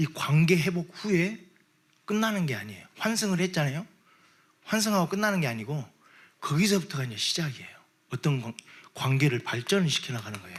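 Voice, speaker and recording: The speaker leaves long, frequent pauses. The pitch swings very widely. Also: man, fairly high pitch for a man, fairly quick pace. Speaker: pastor. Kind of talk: sermon. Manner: animated.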